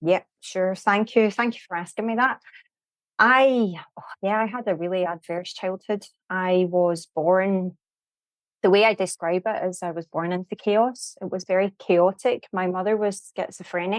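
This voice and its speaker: A woman with a Scottish accent and a medium pitch speaks at a moderate pace with fairly even intonation, the sound dry and close with no echo. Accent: Scottish, noticeable. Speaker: mental health trainer. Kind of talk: podcast interview.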